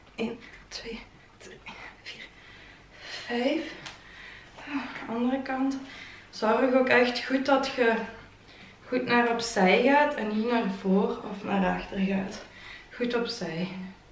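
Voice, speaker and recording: Speaking very slowly with long, frequent pauses, a woman shows big swings in loudness and ordinary pitch variation, with audible room echo and light background noise. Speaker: fitness vlogger. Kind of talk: casual vlog chat and workout instruction. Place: home room. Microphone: phone near.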